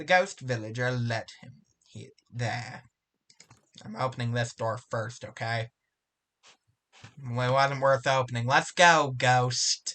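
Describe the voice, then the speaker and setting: The delivery is very slow, with long, frequent pauses and fairly even intonation. The tone is bright and sharp. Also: man, medium pitch for a man. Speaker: gaming youtuber. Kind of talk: gameplay commentary with self-narration.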